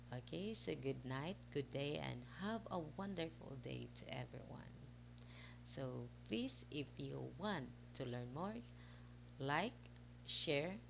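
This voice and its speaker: A woman with a Visayan accent at a very slow pace, long and frequent pauses, and audible echo in the room. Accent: Filipino (Bisaya) accent in English. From Philippines, Visayas. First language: Cebuano (Bisaya). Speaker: parent vlogger. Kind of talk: casual vlog talk to camera. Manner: halting, many fillers.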